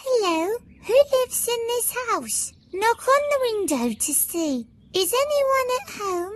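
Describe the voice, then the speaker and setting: A female-sounding, squeaky put-on character voice, extremely high in pitch, speaks at a fairly slow pace. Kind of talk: bedtime story. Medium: read story. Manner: friendly, gentle.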